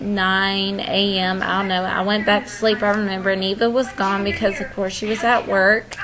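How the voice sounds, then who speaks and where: A fairly high-pitched woman over noticeable background noise. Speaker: vlogger. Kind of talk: storytime monologue. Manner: casual, filler-heavy.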